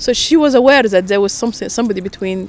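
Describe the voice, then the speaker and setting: A woman with a fairly high pitch talks at a very fast pace, her pitch varying in an ordinary way, while noticeable background noise plays behind her. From Sudan. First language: Russian. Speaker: interviewee sharing migration story. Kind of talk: personal storytelling. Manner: hesitant, many fillers.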